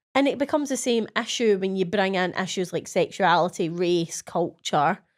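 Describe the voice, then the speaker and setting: In a Scottish accent, a woman with a medium pitch speaks at a fairly quick pace with lively intonation on a very clean recording with a silent background. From Scotland. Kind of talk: podcast conversation.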